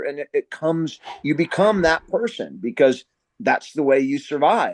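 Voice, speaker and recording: A man talks at a moderate pace, his voice dry and close with no echo. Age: 50s. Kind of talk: interview. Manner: loud; halting, many fillers and restarts.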